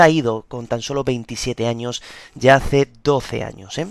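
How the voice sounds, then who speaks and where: The recording is dry and close, with no echo. A man talks at a very slow pace with ordinary pitch variation. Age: 20s. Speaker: music podcast host. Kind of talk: podcast narration.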